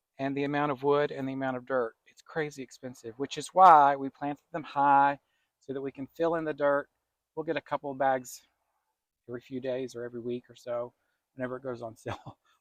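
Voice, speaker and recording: Someone with an Appalachian accent talks at a fairly quick pace with big swings in loudness, in a dry, close sound with no echo. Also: man, fairly high pitch for a man. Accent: country Appalachian. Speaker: gardening channel co-host. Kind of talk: casual chat. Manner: animated.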